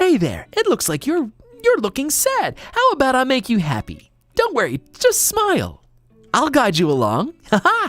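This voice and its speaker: A man puts on a character voice with extremely high pitch. His pace is moderate. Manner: cheery, reassuring.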